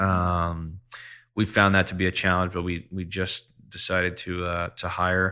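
In a very deep, low voice with a bright, sharp tone, a man speaks fairly slowly with monotone, flat intonation. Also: very clean recording, silent background. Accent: American. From Long Island, New York. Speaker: music management executive. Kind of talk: interview.

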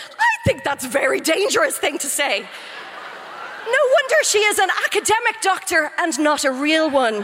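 A woman with an Irish accent speaks at a moderate pace with hardly any pauses, her extremely high pitch making very wide swings over noticeable background noise. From Ireland. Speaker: comedian. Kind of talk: comic debate speech. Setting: stage with audience.

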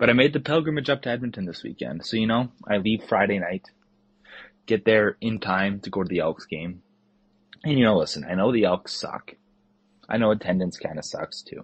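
This man speaks with a Western Canadian accent at a fairly quick pace. His fairly low voice carries lively intonation. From southern Alberta, Canada. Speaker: listener voicemail caller. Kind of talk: casual chat. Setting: voicemail.

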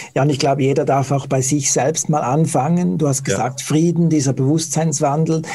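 Over noticeable background noise, a man speaks at a fairly quick pace with hardly any pauses, a fairly high pitch, fairly even intonation and very even loudness. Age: 40s. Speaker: interviewer, website operator. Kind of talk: interview.

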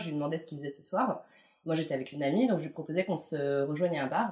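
A woman talks with ordinary pitch variation. Noticeable background noise can be heard. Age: late 20s. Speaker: freelance visual producer. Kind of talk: casual interview. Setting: at home. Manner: hesitant, many fillers.

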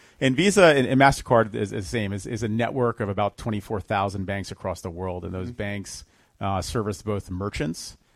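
In an American accent, an ordinary speaking voice moves at a fairly quick pace with ordinary pitch variation, on a very clean recording with a silent background. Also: man, fairly low pitch for a man. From New Jersey, Monmouth County. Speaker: startup founder and CEO. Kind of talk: radio interview.

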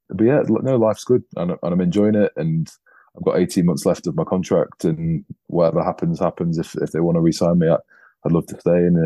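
A man with an English accent, a very deep, low pitch, a dark, mellow tone, ordinary pitch variation and a fairly quick pace. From England. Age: 30s. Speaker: professional rugby player. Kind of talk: casual interview.

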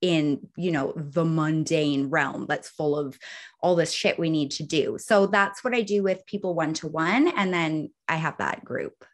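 A woman's animated, fairly low voice at a fairly slow pace with ordinary pitch variation. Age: 30s. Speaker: author and wellness witch. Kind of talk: casual interview chat. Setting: video call. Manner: animated, excitable.

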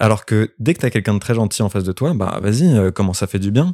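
Dry and close with no echo, the recording catches a man with a fairly low pitch and a dark, mellow tone talking at a moderate pace. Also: very clean recording, silent background. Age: 20s. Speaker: actor. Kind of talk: casual chat. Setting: recorded in a bed at the host's home.

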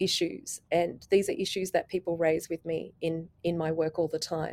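With an Australian accent, a woman speaks in a fairly low, dark, mellow voice with fairly even intonation. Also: very clean recording, silent background. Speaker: policy lecturer and climate negotiator. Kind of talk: panel discussion.

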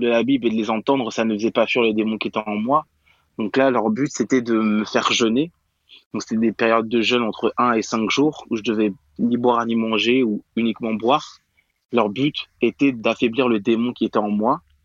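A man at medium pitch, moderate pace, and fairly even intonation. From Paris region, France. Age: 20s. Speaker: conversion therapy survivor. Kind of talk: testimony. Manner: halting.

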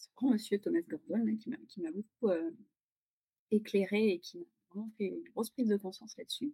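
A woman with a fairly high, somewhat breathy voice and a dark, mellow tone talks at a moderate pace with lively intonation, big swings in loudness, and long, frequent pauses, in a dry, close recording with no echo. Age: 40s. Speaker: parent of three. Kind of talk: testimony. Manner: hesitant.

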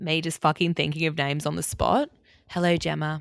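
A woman with an Australian accent in a very clean recording, silent in the background, with a dry, close sound and no echo. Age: 20s. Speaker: podcast host. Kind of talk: casual solo podcast chat.

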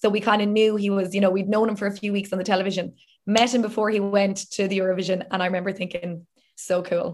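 A woman in a Southern Irish accent, very fast and monotone with flat intonation, at a medium pitch. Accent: southern Irish (Limerick). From Limerick, south of Ireland. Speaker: TV and radio presenter. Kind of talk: casual interview.

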